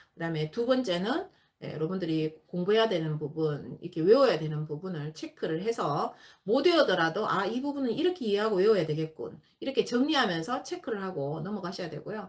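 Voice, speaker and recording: A woman in a Gyeongsang accent, medium pitch, very wide pitch swings, and a fairly quick pace. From Gyeongsang region, South Korea. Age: 50s. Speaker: exam prep instructor. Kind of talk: lecture.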